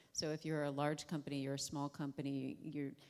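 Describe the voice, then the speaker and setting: A woman is talking. Her accent is American. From United States. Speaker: panelist. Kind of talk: panel discussion. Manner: loud.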